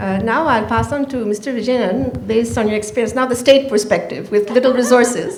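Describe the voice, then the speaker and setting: A woman speaks at a fairly quick pace with a fairly high pitch and ordinary pitch variation. Noticeable background noise and audible room echo accompany her voice. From Canada. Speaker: panel moderator. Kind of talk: panel discussion. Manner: loud.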